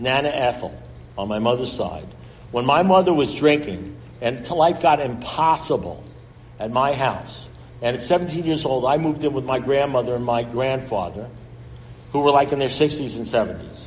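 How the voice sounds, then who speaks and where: In a New York accent, a man speaks at a moderate pace and a medium pitch with ordinary pitch variation, and audible room echo surrounds him. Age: 70s. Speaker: recovery speaker. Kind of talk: recovery talk.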